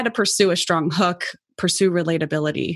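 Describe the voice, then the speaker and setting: Against a quiet background, a woman with an American accent uses a normal speaking voice, fairly low in pitch for a woman, with ordinary pitch variation. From US Midwest, Cincinnati. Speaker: podcast host, startup founder. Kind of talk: interview conversation.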